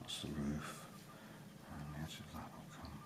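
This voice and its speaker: A man mumbles in a very deep, low pitch with a somewhat breathy quality. His moderate pace comes through with audible room echo. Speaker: drawing tutor. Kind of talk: tutorial. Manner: mumbling; casual, hesitant with many fillers.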